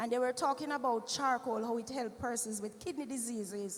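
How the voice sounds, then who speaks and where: Through noticeable background noise, a woman with a high pitch talks at a fairly quick pace with fairly even intonation. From Jamaica. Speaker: church health presenter. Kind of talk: health talk with testimony. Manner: conversational.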